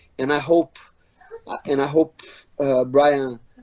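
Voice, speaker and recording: With a non-native accent, a man talks at a moderate pace in a fairly high pitch for a man, using monotone, flat intonation. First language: Portuguese. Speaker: MMA fighter. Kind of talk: interview. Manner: halting, many repeats.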